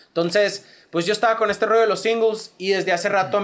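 A man is speaking. He has a northern Mexican accent. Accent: northern Mexican (Sonoran) Spanish. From Mexico, Sonora (Hermosillo). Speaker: rapper. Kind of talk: casual chat.

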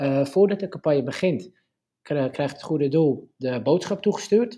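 A man's fairly high, somewhat breathy voice with a dark, mellow tone, ordinary pitch variation and a fairly quick pace. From Netherlands, Purmerend (North Holland). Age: 20s. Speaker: startup co-owner, law student. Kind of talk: interview.

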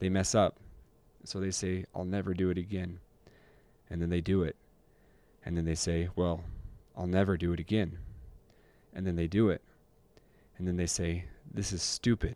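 A man's very deep, low voice with an American accent, a dark, mellow tone, monotone, flat intonation, a moderate pace, and long, frequent pauses. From northern Utah, US. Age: 20s. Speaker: podcast co-host sharing addiction recovery story. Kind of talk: personal testimony in casual chat.

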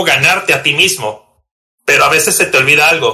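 A man speaks with a northern Mexican accent. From Mexico, Tijuana, Baja California. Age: 30s. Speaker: competitive Pokémon card player. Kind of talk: casual interview chat. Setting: recording at night.

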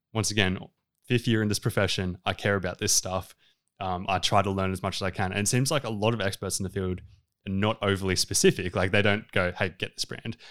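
In an Australian accent, a man with a fairly low pitch speaks at a fairly quick pace, his voice dry and close with no echo on a very clean recording with a silent background. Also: fairly even intonation. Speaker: dietitian. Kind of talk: casual interview.

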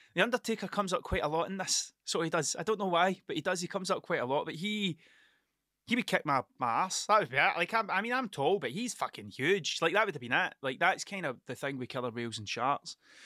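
A man with a fairly high pitch, a bright, sharp tone and a fairly quick pace, in a dry, close sound with no echo on a very clean recording with a silent background. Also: lively intonation.

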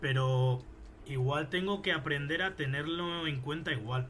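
A man speaks with a Madrid accent and a fairly high pitch. His intonation stays fairly even, with audible echo in the room. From Spain, Fuenlabrada near Madrid. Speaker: rapper. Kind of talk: casual interview.

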